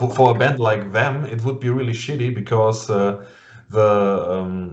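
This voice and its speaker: A man with a German accent speaks at a fairly slow pace and medium pitch, his intonation fairly even, with audible room echo and noticeable background noise. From Germany. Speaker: metal interviewer. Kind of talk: casual interview. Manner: halting.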